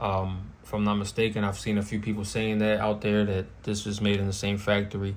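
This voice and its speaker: Talking at a fairly quick pace, a man with a fairly low pitch is heard with audible room echo. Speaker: firearms YouTuber. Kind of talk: casual product show-and-tell. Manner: casual, with frequent fillers.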